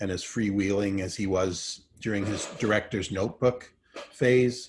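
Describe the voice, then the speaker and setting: A man with a Manitoba accent speaks at a fairly low pitch. His voice is somewhat breathy. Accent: Canadian (Manitoba) English. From Canada, Winnipeg. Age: 60s. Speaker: filmmaker. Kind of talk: keynote talk. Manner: halting.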